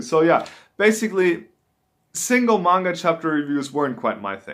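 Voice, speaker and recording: Speaking fairly quickly in a German accent, a man uses a high pitch with very wide pitch swings. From Germany. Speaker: YouTuber, manga reviewer. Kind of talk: casual vlog talk to camera. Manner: halting, with fillers and restarts.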